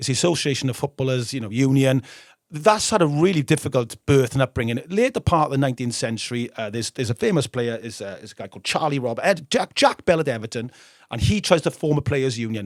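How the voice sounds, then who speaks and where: A man with a northern English accent speaks at a very fast pace in an animated tone at a medium pitch. The very clean recording has a silent background and a dry, close sound with no echo. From northern England. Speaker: football history podcast host. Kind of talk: casual chat.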